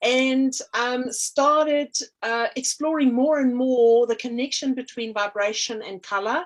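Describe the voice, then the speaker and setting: In a very clean recording with a silent background, a woman speaks at a fairly slow pace. Her pitch is high, with ordinary pitch variation. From South Africa. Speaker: artist and energy healer. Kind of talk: interview. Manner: hesitant, many fillers.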